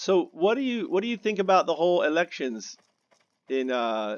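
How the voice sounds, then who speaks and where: A man speaks with an American accent at a moderate pace. His pitch swings very widely. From Spain (Mallorca) as small child, mostly abroad; father US naval attaché. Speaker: gaming video creator. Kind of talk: casual chat while gaming. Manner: halting, many false starts.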